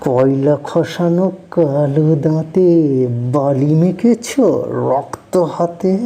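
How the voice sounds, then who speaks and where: A woman's very deep, low voice with ordinary pitch variation over noticeable background noise. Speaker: poet. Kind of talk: poetry reading.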